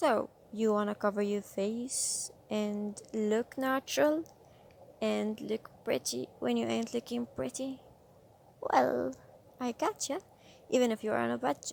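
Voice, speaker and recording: Speaking with a non-native accent, a woman goes at a fairly slow pace with long, frequent pauses. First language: not English. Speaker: beauty vlogger. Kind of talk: makeup tutorial. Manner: casual.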